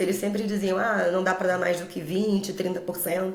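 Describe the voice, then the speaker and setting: With a Rio de Janeiro accent, a woman speaks at a medium pitch amid audible room echo and noticeable background noise. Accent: Rio de Janeiro (carioca) Brazilian Portuguese. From Brazil, Rio de Janeiro. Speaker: English teacher. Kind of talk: podcast interview.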